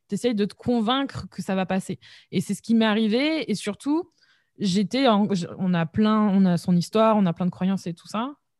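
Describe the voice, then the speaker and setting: A woman with a medium-pitched voice speaks at a moderate pace in an energetic tone with lively intonation, the sound dry and close with no echo and the recording very clean against a silent background. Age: 20s. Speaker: entrepreneur, web marketing podcaster. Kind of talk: casual interview conversation.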